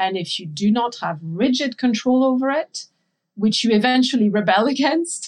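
Speaking in a French accent at a moderate pace, a woman sounds somewhat breathy, with lively intonation. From France. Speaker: intuitive eating and body image coach. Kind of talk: interview conversation.

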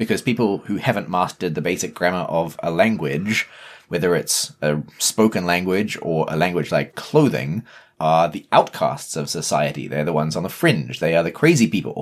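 Over a very clean recording with a silent background, a man with a New Zealand accent talks at a moderate pace, very deep and low in pitch, with lively intonation. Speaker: podcast co-host. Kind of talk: casual chat.

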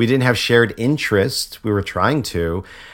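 A man's normal speaking voice, fairly low in pitch with an American accent, ordinary pitch variation and a moderate pace, on a very clean recording with a silent background. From Connecticut, US. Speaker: actor and activist. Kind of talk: interview conversation.

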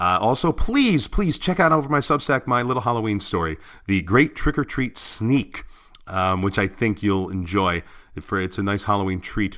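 In a very clean recording with a silent background, a man with a fairly low pitch speaks in a bright, sharp, animated tone with lively intonation. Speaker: podcast host and artist. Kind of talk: casual solo podcast monologue. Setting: home recording in apartment. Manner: fast; animated, many fillers.

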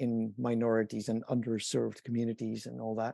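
At a moderate pace, a man with a Dutch accent speaks in a dark, mellow tone, the sound dry and close with no echo over a quiet background. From Netherlands. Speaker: inventor and company founder. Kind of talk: interview.

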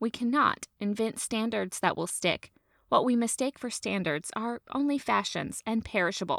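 A woman with an ordinary speaking voice, fairly high in pitch, at a moderate pace with lively intonation, on a very clean recording with a silent background and a dry, close sound with no echo. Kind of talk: reading aloud a 1900s literary essay. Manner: measured, formal, storytelling cadence.

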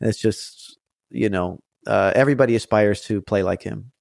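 A man with an unremarkable speaking voice and an American accent, moderate pace and fairly even intonation, on a very clean recording with a silent background and a dry, close sound with no echo. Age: 30s. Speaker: musician and piano teacher. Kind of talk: interview.

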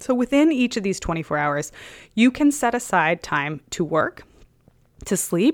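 On a very clean recording with a silent background, a woman speaks at a moderate pace with very wide pitch swings. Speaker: podcast host. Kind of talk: personal reflection monologue. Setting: at home.

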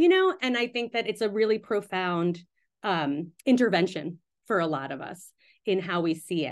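Against a quiet background, a woman speaks at a fairly slow pace. Her pitch swings very widely. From US, Pakistani-American family. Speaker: midwife and writer. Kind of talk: interview conversation.

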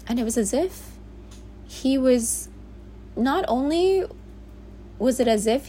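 A woman with an American accent. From US, Bronx, New York. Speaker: podcaster. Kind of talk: personal monologue. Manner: casual, conversational.

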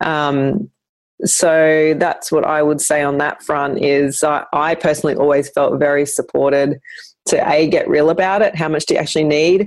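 A woman with an Australian accent speaks at a very deep, low pitch and a moderate pace. Her intonation is fairly even and her loudness very even. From Brisbane, Australia. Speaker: business co-founder, former PR professional. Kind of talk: casual interview chat.

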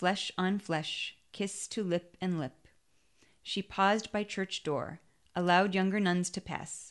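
An ordinary speaking voice at a fairly slow pace, with fairly even intonation and a quiet background. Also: woman, medium pitch for a woman. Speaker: audiobook reader. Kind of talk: literary audiobook reading of a short story.

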